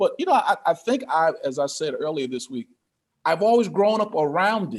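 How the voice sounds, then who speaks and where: A man with an American accent and an unremarkable speaking voice talks at a moderate pace. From Connecticut, US Northeast. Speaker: pastor and financial coach. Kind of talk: interview.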